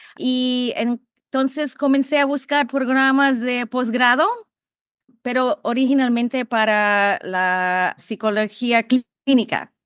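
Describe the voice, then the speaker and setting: A woman speaks very slowly in a high voice, recorded dry and close with no echo. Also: ordinary pitch variation. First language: English (speaking Spanish). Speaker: behavior analysis professor. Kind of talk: podcast interview. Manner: halting.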